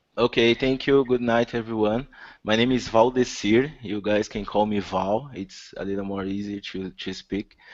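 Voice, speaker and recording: A man with a Brazilian accent, fairly low in pitch, at a moderate pace with fairly even intonation. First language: Portuguese. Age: 30s. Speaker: systems administrator, contest competitor. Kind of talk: self-introduction.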